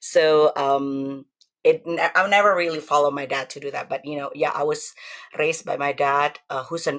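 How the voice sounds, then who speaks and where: With an Indonesian accent, a woman talks at a moderate pace in a very deep, low voice with fairly even intonation. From Indonesia (Javanese). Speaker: testimony guest. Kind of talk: testimony interview.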